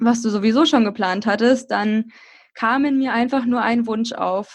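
With a quiet background, a woman talks at a fairly slow pace and a fairly high pitch, her pitch varying in an ordinary way. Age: 20s. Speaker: blogger and podcaster. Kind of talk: casual interview.

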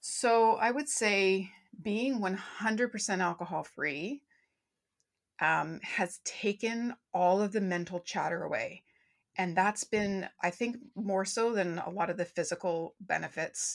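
In a very clean recording with a silent background, a woman with a normal speaking voice talks at a fairly slow pace, at medium pitch with ordinary pitch variation. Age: 40s. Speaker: business and well-being mentor. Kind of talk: casual interview chat.

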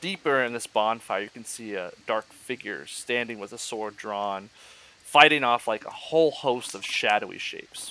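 At a fairly slow pace, a man with an ordinary speaking voice talks at a medium pitch. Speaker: dungeon master. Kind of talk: tabletop RPG narration, ghost story telling by the campfire. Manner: switches into an old man's character voice.

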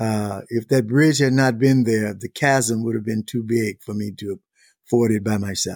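Recorded very cleanly against silence, the dry, close voice speaks at a fairly slow pace with a Mississippi accent and ordinary pitch variation. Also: man. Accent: Southern US (Mississippi). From US South, Mississippi Delta. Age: 70s. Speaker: author and speaker. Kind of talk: interview.

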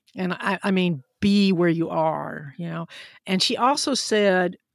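In a Southern US accent, a woman speaks at a medium pitch, her voice dry and close with no echo on a very clean recording with a silent background. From US South, Huntsville, Alabama. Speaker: physician and science podcaster. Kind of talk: interview.

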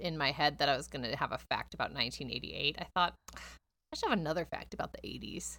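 A woman is speaking. Her voice has vocal fry. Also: very clean recording, silent background. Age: 30s. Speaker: podcast co-host. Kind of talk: casual chat; reading facts aloud.

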